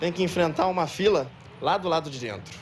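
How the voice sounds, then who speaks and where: A man's high-pitched voice with ordinary pitch variation, at a fairly quick pace. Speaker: TV news reporter. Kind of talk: field news report. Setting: outdoors at a clinic queue.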